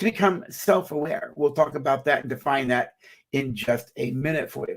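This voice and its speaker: A man's somewhat breathy voice. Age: 60s. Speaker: psychologist and minister. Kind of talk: live-streamed talk. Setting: live stream. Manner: halting.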